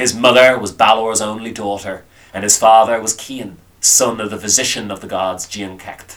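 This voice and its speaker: Man with an Irish accent, fairly low pitch, moderate pace. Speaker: storyteller. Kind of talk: folklore storytelling. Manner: animated, wry, conversational storyteller's delivery.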